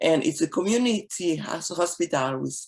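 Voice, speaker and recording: This voice carries a Haitian accent and moves at a moderate pace. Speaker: physician. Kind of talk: presentation. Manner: halting.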